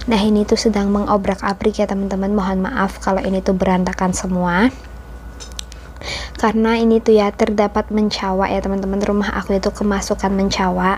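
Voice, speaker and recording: Soft-spoken and monotone, a woman talks at a fairly quick pace in a medium pitch with flat intonation. Noticeable background noise can be heard behind her. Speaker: homemaker vlogger. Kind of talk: vlog voiceover narration. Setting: home, recorded while kids sleep.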